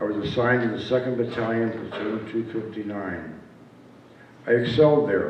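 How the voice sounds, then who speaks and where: Noticeable background noise and audible room echo surround a man speaking at a fairly low pitch. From upstate New York. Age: 70s. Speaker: war veteran. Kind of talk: speech. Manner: halting.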